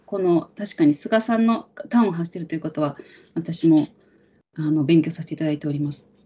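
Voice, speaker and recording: A woman speaks at a fairly quick pace in a fairly low, somewhat breathy voice. Her pitch varies in an ordinary way. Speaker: livestream host. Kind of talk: live talk show moderating. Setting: live stream studio. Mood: polite, calm. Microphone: video call.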